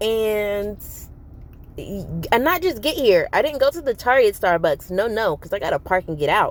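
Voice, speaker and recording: A woman speaks in an animated tone at a moderate pace. Her pitch swings very widely. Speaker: vlogger. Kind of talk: casual vlog monologue.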